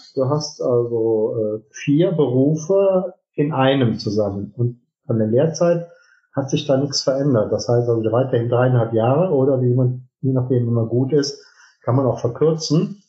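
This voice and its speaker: This man talks at a fairly slow pace with a somewhat breathy quality. His pitch is medium, with ordinary pitch variation. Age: 50s. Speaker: business owner, heating and plumbing company. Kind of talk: interview.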